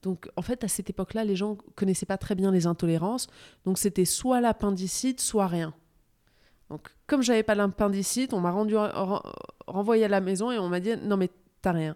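A woman's dark, mellow tone with ordinary pitch variation, dry and close with no echo, on a very clean recording with a silent background. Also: medium pitch for a woman, moderate pace. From Morocco, then Touraine France from 12. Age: 40s. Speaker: nutrition blogger, former finance worker. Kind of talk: interview conversation. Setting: at guest's home.

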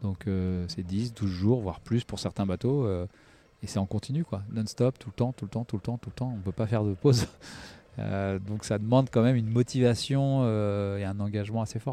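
At a moderate pace, a man speaks in a dark, mellow tone at a fairly low pitch with ordinary pitch variation, the sound dry and close with no echo. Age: 40s. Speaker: professional solo sailor. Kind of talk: interview. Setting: on a boat in a marina. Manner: hesitant.

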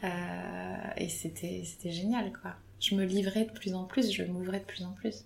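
The woman speaks at a very slow pace. Noticeable background noise is present. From Paris suburbs, France. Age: 30s. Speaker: photographer. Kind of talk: interview.

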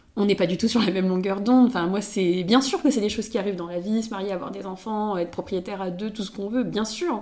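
A woman with a dark, mellow tone rushes along at a very fast pace with hardly any pauses, her medium pitch showing ordinary variation. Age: 20s. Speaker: podcast guest sharing her love life. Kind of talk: casual chat. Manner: halting, many repeated words.

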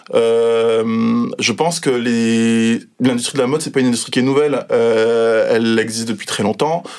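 At a fairly slow pace and with hardly any pauses, a man speaks at medium pitch with fairly even intonation. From Guadeloupe. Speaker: fashion art director. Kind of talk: interview. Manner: hesitant, many fillers.

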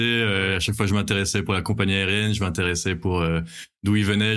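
Over a silent background in a very clean recording, a man talks at a fairly quick pace in a fairly low, monotone, flat voice. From Belgium. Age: 20s. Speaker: airline pilot. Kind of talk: casual interview chat. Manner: halting, many fillers and repetitions.

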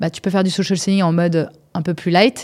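A woman's fairly low, dark, mellow voice at a very fast pace, with fairly even intonation, on a very clean recording with a silent background. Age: 40s. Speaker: startup founder. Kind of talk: interview. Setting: studio.

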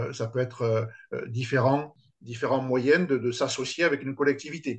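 At a fairly slow pace, a man talks in a somewhat breathy, fairly high-pitched voice. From France, Toulouse. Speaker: sports complex entrepreneur. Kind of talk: interview. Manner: halting.

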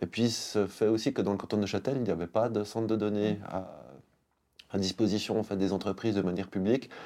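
Speaking at a fairly quick pace, a man with a dark, mellow tone and fairly low pitch keeps a monotone, flat intonation on a very clean recording with a silent background. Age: 40s. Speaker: IT company co-founder. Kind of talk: interview.

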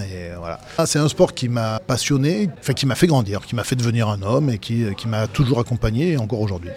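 A man at a moderate pace and medium pitch, with noticeable background noise. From Dauphiné, France (Vienne). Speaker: former rugby player and pundit. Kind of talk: casual interview. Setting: restaurant.

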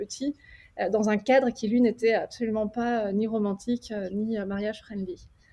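In an unremarkable speaking voice, a woman with a fairly high pitch talks at a moderate pace with fairly even intonation. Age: 30s. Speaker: wedding photographer. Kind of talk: casual roundtable chat. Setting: remote video call.

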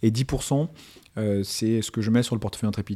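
Recorded very cleanly against a silent background, a man speaks with a fairly low pitch. His pitch variation is ordinary. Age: 30s. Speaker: fintech entrepreneur. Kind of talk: interview. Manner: halting, many fillers.

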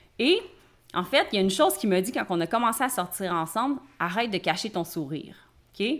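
On a very clean recording with a silent background, a woman in a Quebec accent speaks at medium pitch and a fairly quick pace with lively intonation and long, frequent pauses. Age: 30s. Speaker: life coach and entrepreneur. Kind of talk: interview. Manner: casual.

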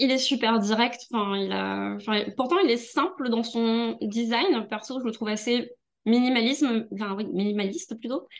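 This is a plain, everyday voice belonging to a woman. It sits fairly high and rises and falls by an ordinary amount. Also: fairly slow pace. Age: 40s. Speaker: music journalist and tarot reader. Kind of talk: casual chat. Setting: video call.

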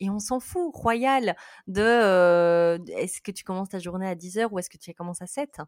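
In a Belgian accent, a woman talks fairly slowly at a medium pitch, the sound dry and close with no echo and the recording very clean over a silent background. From Belgium. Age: 30s. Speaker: sleep psychologist. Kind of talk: interview.

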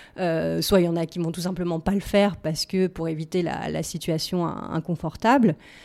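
Dark, mellow tone at a moderate pace, fairly even intonation, hardly any pauses, very clean recording with a silent background. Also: woman, fairly low pitch for a woman. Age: 30s. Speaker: recruitment agency co-founder. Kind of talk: casual interview.

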